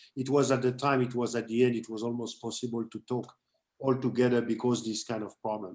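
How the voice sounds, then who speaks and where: In a French accent, a man talks at a fairly quick pace with monotone, flat intonation. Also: medium pitch for a man. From France. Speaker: condo owner asking a question. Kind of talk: question from the floor at a meeting. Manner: halting.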